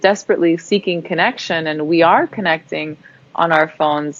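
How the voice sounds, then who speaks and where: At a fairly quick pace, a woman talks in a fairly low pitch. Background noise is noticeable. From Germany. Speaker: entrepreneur, movement founder. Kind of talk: interview.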